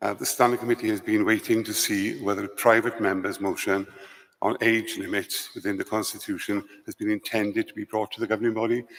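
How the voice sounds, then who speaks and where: A man speaks with a Welsh accent. He talks at a very fast pace. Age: 70s. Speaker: lay church representative. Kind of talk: formal question at assembly. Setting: convention centre assembly.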